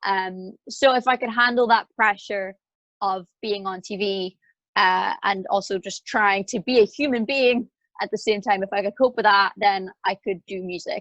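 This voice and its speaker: In a Northern Irish accent, a woman speaks at a moderate pace and medium pitch, with fairly even intonation and a dry, close sound with no echo. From Northern Ireland. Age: 20s. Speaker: singer-songwriter. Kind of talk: interview conversation.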